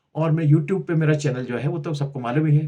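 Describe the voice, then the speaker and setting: A man's fairly high-pitched, somewhat breathy voice with a dark, mellow tone. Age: 70s. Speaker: health and culture YouTuber. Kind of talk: casual talk to camera. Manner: halting, with repetitions.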